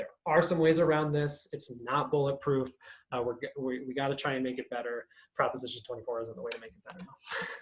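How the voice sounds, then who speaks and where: A man's somewhat breathy voice moves at a fairly quick pace with ordinary pitch variation. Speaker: privacy activist workshop presenter. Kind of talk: online workshop presentation. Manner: fast; halting, many fillers.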